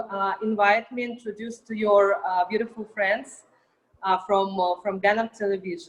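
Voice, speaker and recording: This woman speaks with a Russian accent. Her voice is medium-pitched. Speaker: artist and model. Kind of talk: interview.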